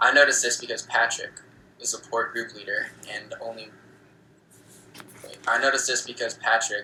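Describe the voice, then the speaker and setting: A man at a fairly quick pace, with long, frequent pauses and big swings in loudness. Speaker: book club host reading aloud. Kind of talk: reading aloud. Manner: halting.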